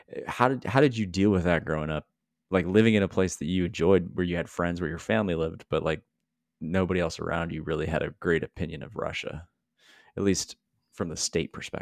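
In a very clean recording with a silent background and a dry, close sound free of echo, a man speaks very fast in a very deep, low voice with ordinary pitch variation. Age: 30s. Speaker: podcast co-host. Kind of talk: casual interview.

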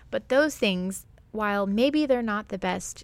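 With an American accent, a woman talks at a moderate pace in a normal speaking voice, her pitch medium with ordinary variation. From US Midwest, Ozarks (Springfield, Missouri). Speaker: podcast host, artist. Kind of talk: solo monologue podcast. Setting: studio recording into a microphone.

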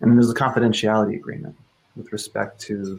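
A man in an American accent rattles along at a very fast pace with a fairly low pitch. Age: 30s. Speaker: leadership coach and author. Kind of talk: casual chat.

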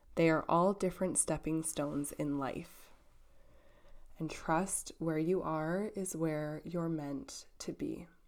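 A woman with a fairly low pitch speaks at a very slow pace in a soothing, gentle tone, on a very clean recording with a silent background. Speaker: podcast host and spiritual guide. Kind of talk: guided prayer and affirmation, then a self-written devotional poem read aloud. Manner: soft, slow, soothing and reverent, with a gentle meditative cadence.

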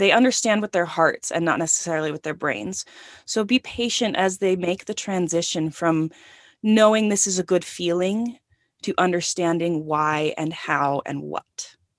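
An ordinary speaking voice, this woman talks at a moderate pace in an American accent, with fairly low pitch and ordinary pitch variation. The sound is dry and close with no echo, over a quiet background. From Northern California and Utah. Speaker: writer and podcaster. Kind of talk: casual interview.

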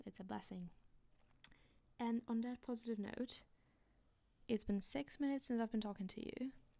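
This woman has a Polish accent. Her tone is dark and mellow. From Poland. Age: 20s. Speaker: student podcaster. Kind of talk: casual monologue, audio diary. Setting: home recording, room with echo. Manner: halting, with fillers and laughs.

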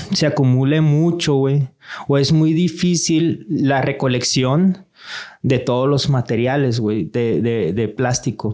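A man talks very slowly, his pitch fairly high and his pitch variation ordinary. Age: 30s. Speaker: digital marketing entrepreneur. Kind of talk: casual chat. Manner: animated.

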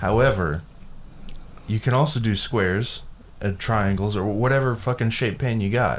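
Pausing long and often, a man talks at a moderate pace with a fairly low pitch and ordinary pitch variation. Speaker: podcast host. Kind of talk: casual chat. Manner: profane, joking.

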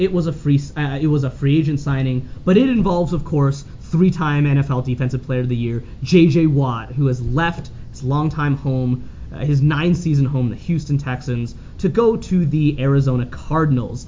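The speaker has a Canadian accent and a moderate pace. Background noise is noticeable. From Calgary, Canada. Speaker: sports podcast host. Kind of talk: casual sports chat.

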